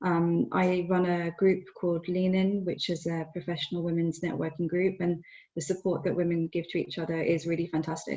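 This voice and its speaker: A woman's fairly low, somewhat breathy voice in a British accent, monotone and flat in intonation, at a fairly quick pace against a quiet background. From UK. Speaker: lawyer. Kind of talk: panel discussion. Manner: hesitant, many fillers.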